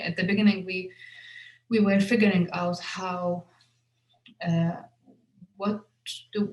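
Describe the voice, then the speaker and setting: A woman with an Arabic accent at a medium pitch, fairly slow, with fairly even intonation. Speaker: filmmaker. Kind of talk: interview Q&A. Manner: halting, many fillers and repetitions.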